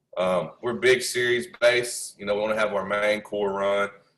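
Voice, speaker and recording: This man has a plain, everyday voice, fairly low in pitch, and speaks at a moderate pace. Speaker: football coach. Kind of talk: coaching clinic presentation. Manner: casual with frequent fillers.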